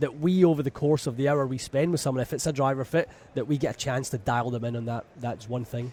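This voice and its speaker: With a Scottish accent, a man talks at a fairly quick pace in a fairly high, somewhat breathy voice with ordinary pitch variation. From Scotland, west coast near Glasgow. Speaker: golf club fitter. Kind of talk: radio interview. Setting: radio booth at a trade show.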